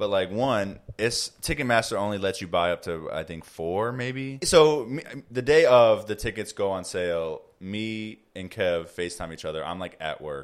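A man with an American accent and a plain, everyday voice speaks at a moderate pace with a fairly low pitch and hardly any pauses. His intonation is lively, on a very clean recording with a silent background. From Chicago, Illinois. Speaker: podcast co-host. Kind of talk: casual chat. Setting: home recording.

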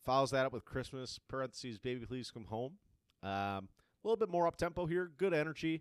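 This man has a plain, everyday voice at a medium pitch. He speaks at a fairly quick pace with lively intonation. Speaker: music podcast co-host. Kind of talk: casual album review chat. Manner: casual, relaxed, profane.

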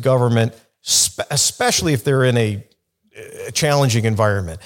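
A man with a Chicago accent speaks at a moderate pace. The recording is very clean, with a silent background. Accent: Chicago American English. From US Midwest, Chicago. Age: 50s. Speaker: lawyer, company general counsel. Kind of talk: podcast interview.

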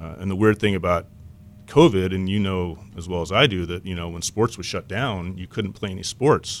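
With an American accent, a man with a very deep, low pitch talks at a moderate pace, his pitch varying in an ordinary way and his loudness swinging widely, on a very clean recording with a silent background. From West Texas (Lubbock). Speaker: sports apparel sales representative. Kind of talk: casual interview.

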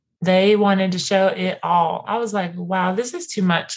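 At a fairly slow pace, a woman speaks at medium pitch with fairly even intonation. Her voice is somewhat breathy. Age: 30s. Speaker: podcast host. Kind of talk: casual chat.

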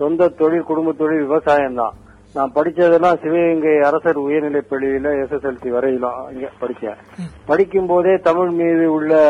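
A man speaks in a fairly high pitch with fairly even intonation. Noticeable background noise is heard too. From Tamil Nadu, Sivaganga district village. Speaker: film lyricist. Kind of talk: interview storytelling.

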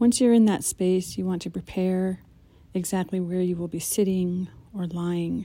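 Calm and soothing, a woman's dark, mellow voice sits at a medium pitch with fairly even intonation. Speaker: meditation guide. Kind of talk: guided meditation intro, calm instructional walkthrough. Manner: calm, soothing, unhurried; gentle, warm and instructive.

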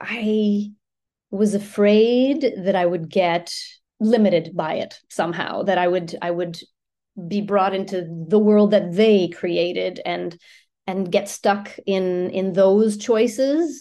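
Against a quiet background, a woman talks very slowly in a dark, mellow tone at a medium pitch with ordinary variation. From Ottawa, Canada. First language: French. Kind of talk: casual interview chat. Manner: hesitant, many filler words.

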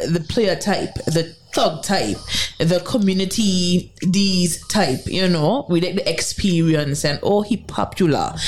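Noticeable background noise sits behind a woman with a fairly low pitch. She speaks at a very slow pace. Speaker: radio co-host. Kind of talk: casual radio banter. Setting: radio studio. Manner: animated, chatty.

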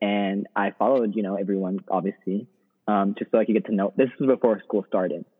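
In an American accent, an ordinary speaking voice moves at a fairly quick pace with fairly even intonation. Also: man, fairly low pitch for a man. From Texas. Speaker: law student. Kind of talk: casual chat.

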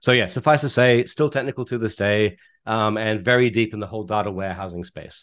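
With an Australian accent, a man talks at a very fast pace in a fairly low pitch with ordinary pitch variation against a quiet background. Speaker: data analytics executive and consultant. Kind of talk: interview.

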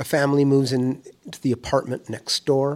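In a plain, everyday voice, a man speaks fairly slowly at a medium pitch. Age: 60s. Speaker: musician, interviewee. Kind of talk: testimony.

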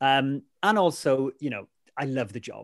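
A man speaks with a South Wales accent. The background is quiet. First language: Welsh. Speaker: weather presenter. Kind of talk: casual chat. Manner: animated.

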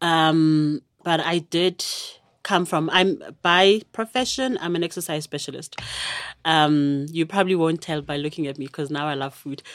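A woman with a normal speaking voice talks at a fairly slow pace in a fairly low pitch, with ordinary pitch variation. The recording is very clean, with a silent background. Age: 30s. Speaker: YouTuber and exercise specialist. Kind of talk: casual chat.

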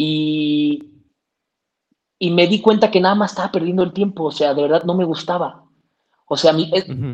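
A man with a high voice and a central Mexican accent speaks at a moderate pace with ordinary pitch variation, stopping often for long pauses. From Mexico, Toluca. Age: 20s. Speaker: actor, filmmaker and content creator. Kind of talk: casual interview.

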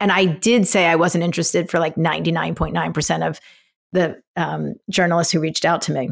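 A woman with an American accent speaks with a fairly low pitch, vocal fry, fairly even intonation and very even loudness, on a very clean recording with a silent background. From Philadelphia. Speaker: nonprofit founder. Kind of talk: interview.

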